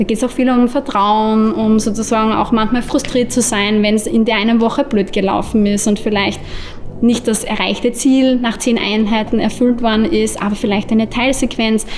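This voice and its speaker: Music plays in the background while the voice keeps a moderate pace. Loudness stays very even, and the intonation is fairly even. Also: woman, fairly high pitch for a woman. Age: 20s. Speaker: occupational therapist and lecturer. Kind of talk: interview.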